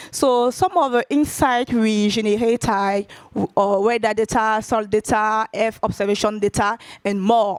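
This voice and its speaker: Fairly slow and fairly even in intonation, a woman with a non-native accent speaks at a fairly high pitch in a dry, close sound with no echo. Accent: Francophone. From Ivory Coast. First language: French. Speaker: tech company data lead. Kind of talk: conference talk. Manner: halting, many fillers.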